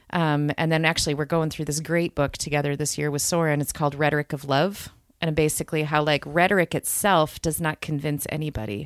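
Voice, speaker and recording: With a Michigan accent, a woman speaks at a very fast pace with hardly any pauses, in a very deep, low pitch and fairly even intonation. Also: very clean recording, silent background. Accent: Upper Midwest (Michigan). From Grand Rapids, Michigan. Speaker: preacher and author. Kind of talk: casual chat.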